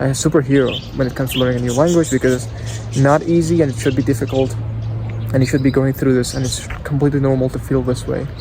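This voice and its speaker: Amid noticeable background noise and audible room echo, a man with a non-native accent speaks with fairly even intonation. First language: not English. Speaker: English teacher vlogger. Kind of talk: casual vlog. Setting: outdoors.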